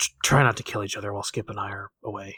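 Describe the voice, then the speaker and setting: A man puts on a raspy character voice and races along at a very fast pace. The sound is dry and close, with no echo. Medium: actual play.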